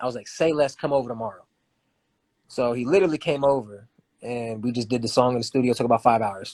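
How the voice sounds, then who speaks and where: Over a silent background in a very clean recording, a man with an American accent talks at a very fast pace with ordinary pitch variation. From Ohio. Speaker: singer and rapper. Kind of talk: casual interview chat. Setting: live video stream.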